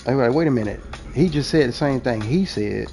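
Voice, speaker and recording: A man with a New Orleans accent, medium in pitch and animated in tone, fairly quick, with ordinary pitch variation and music in the background. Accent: New Orleans Southern US. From US South, New Orleans. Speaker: gaming streamer. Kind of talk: casual monologue while gaming.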